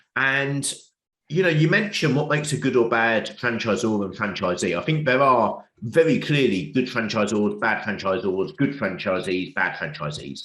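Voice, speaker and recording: Speaking with an English accent, a man uses a medium pitch at a moderate pace. His pitch swings very widely. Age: 40s. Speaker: business author and coach. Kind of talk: interview.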